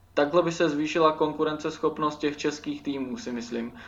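Pitched fairly high, a man speaks in a plain, everyday voice with fairly even intonation. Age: 20s. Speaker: podcast host, journalism student. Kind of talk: casual chat. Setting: remote recording over computers.

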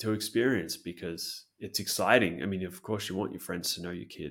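Here is a man with an Australian accent and a very deep, low pitch. He talks at a moderate pace. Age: 30s. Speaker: English teacher. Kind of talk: casual chat.

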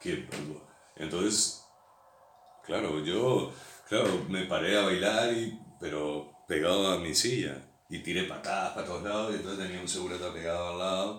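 Audible room echo surrounds a man whose very deep, low voice moves at a moderate pace with ordinary pitch variation. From Uruguay, Montevideo. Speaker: former pirate radio broadcaster. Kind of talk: casual chat.

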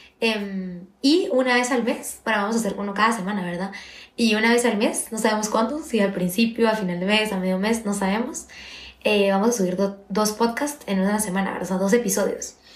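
Against noticeable background noise and audible room echo, a woman speaks at a fairly quick pace in a fairly high pitch with ordinary pitch variation. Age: 20s. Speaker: university student and podcast co-host. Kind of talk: casual chat. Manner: fast.

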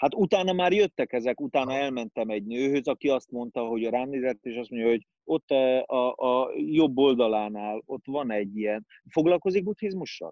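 In a dry, close sound with no echo, a man with a medium pitch and a dark, mellow tone speaks with lively intonation and hardly any pauses. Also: moderate pace. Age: 40s. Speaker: actor. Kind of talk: casual chat.

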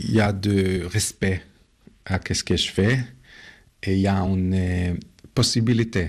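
A man talks at a very slow pace with a Hebrew accent. His pitch is very deep and low, and his intonation is fairly even. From Israel, ultra-orthodox family. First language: Hebrew (speaking French). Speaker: art photographer. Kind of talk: interview. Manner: hesitant, with fillers.

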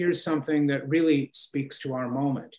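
A man with a fairly high pitch, an unremarkable speaking voice and ordinary pitch variation. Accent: American. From Chicago, US Midwest. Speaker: political science professor. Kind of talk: interview.

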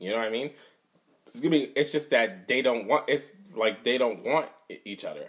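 A man with a medium-pitched voice talks at a moderate pace in an animated tone, with ordinary pitch variation and long, frequent pauses. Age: 30s. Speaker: podcast host. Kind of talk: casual chat.

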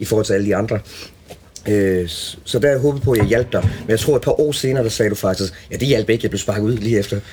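Over noticeable background noise, a man with a medium-pitched voice talks at a very fast pace. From Denmark, Als (southern Jutland). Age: 40s. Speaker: guitarist. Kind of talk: casual chat. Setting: backstage room at a music venue.

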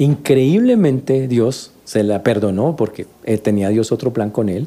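A man speaks at a medium pitch with a dark, mellow tone and lively intonation. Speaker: pastor. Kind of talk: sermon. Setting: church. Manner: animated, teaching, conversational tone.

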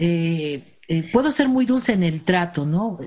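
Her intonation is lively and her pitch fairly low, and this woman's somewhat breathy voice has a dark, mellow tone. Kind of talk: casual chat.

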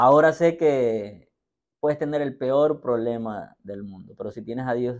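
At a very slow pace, a man with a medium pitch speaks with ordinary pitch variation. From rural Latin America. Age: 40s. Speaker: entrepreneur and investor. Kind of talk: interview.

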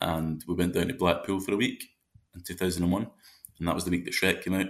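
In a Glaswegian accent, a man talks at a very fast pace with a very deep, low pitch and monotone, flat intonation. The recording is very clean, with a silent background. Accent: Glaswegian Scottish. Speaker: actor. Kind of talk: casual chat.

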